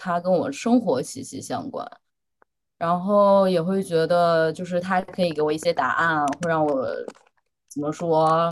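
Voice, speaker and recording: A woman with fairly low pitch and ordinary pitch variation at a very slow pace. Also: quiet background. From China, Henan. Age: 20s. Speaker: doctoral student, blind date participant. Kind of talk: casual chat.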